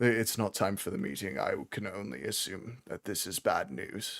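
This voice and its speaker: Using a put-on character voice, a man talks at a moderate pace with a fairly low pitch. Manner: quiet.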